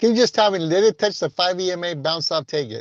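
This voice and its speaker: The voice has a dry, close sound with no echo and a quiet background. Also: man. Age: 60s. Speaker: day trader. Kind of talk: casual chat. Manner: animated.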